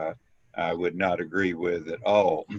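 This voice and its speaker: A man speaks at a fairly slow pace with a very deep, low pitch. The sound is dry and close with no echo. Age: 80s+. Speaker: class participant. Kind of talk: Q&A discussion. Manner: halting.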